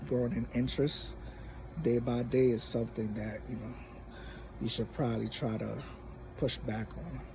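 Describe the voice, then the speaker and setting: With audible room echo, a man speaks at a moderate pace, leaving long, frequent pauses. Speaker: vlogger. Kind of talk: casual vlog monologue. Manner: many filler words.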